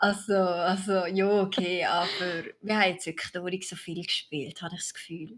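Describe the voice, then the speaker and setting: This woman's voice sits at a medium pitch. She talks at a moderate pace. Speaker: gaming video creator. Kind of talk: casual chat. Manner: animated.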